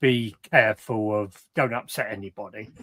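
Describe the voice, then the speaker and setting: A man with a southern English accent, dry and close with no echo. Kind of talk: casual chat. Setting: live stream video call.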